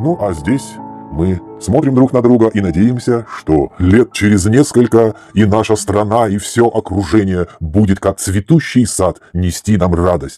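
A man's fairly low voice with lively intonation at a fairly slow pace, music playing in the background. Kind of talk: narration over slideshow.

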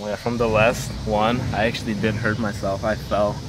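A man at a moderate pace with ordinary pitch variation, the sound dry with no echo, over loud background noise. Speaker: vlogger. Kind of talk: casual vlog chat. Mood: relaxed, mildly amazed.

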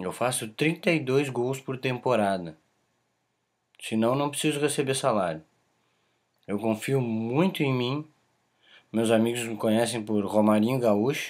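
Pausing long and often, a man talks at a fairly slow pace and medium pitch, with ordinary pitch variation. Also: quiet background. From southern Brazil, Caxias do Sul (Rio Grande do Sul); Rio Grande do Sul, Brazil. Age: 20s. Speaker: aspiring footballer. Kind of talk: self-promotional video pitch. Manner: emphatic, confident. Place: home room. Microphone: webcam.

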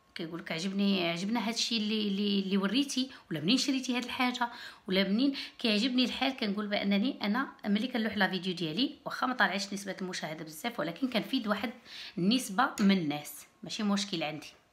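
Lively intonation carries speech that moves at a fairly quick pace. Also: woman. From Morocco, Berrechid; Morocco. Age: 30s. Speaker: YouTuber; vlogger. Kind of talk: casual vlog talk to camera. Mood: relaxed, friendly. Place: home room. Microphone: phone near.

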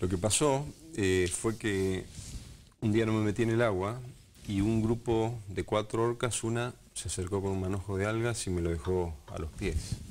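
A man talks at a fairly slow pace with a fairly low pitch and ordinary pitch variation. Light background noise is present. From Argentina, Patagonia (Esquel, Andes); Patagonia, Argentina. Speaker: wildlife ranger; interviewee. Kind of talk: TV interview. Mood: calm, reflective. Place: studio. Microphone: lapel.

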